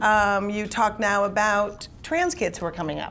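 A woman with an American accent and a fairly high voice shows ordinary pitch variation, with noticeable background noise behind her. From US Midwest. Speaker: comedian and panel moderator. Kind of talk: panel discussion. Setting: stage with audience. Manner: animated. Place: meeting room. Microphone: podium.

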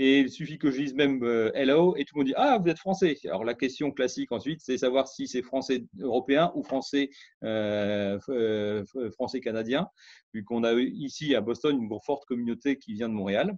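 A male voice at a moderate pace with ordinary pitch variation, dry with no echo over a quiet background. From France. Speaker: scientist; interviewee. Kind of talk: interview testimony. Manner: halting. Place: home room. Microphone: webcam.

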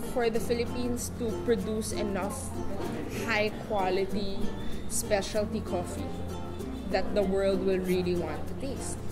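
A woman talks at a fairly slow pace with music in the background. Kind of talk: interview answer.

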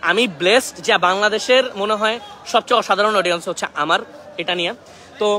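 A raised, projected voice carries through. Noticeable background noise sits behind it. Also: man, high pitch for a man, ordinary pitch variation. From Bangladesh, Netrokona. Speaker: youtuber doing flood relief. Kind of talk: live vlog from relief site. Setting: outdoors, flooded area, by boat. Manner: loud; animated.

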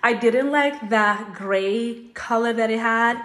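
A woman with ordinary pitch variation. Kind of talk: casual vlog chat. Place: bathroom. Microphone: phone near.

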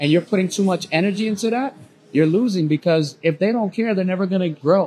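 Lively intonation from a man, with light background noise. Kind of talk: podcast conversation. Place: bar.

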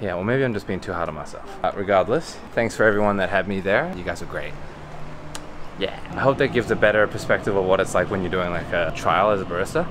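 Over noticeable background noise, a man speaks at a very fast pace with a fairly low pitch. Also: ordinary pitch variation. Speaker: barista vlogger. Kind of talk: casual vlog chat. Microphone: phone near.

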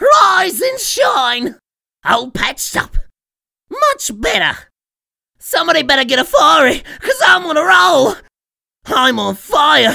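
Spoken in a put-on character voice, the high-pitched delivery moves at a fairly slow pace with long, frequent pauses. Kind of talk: video game character voice lines. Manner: manic, gleeful, cackling.

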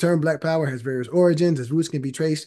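Pitched fairly high with a dark, mellow tone, a man talks at a fairly quick pace with ordinary pitch variation. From Philadelphia area, US. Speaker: panel discussion host. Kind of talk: panel discussion. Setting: video call. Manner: casual, uses filler like you know. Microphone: webcam.

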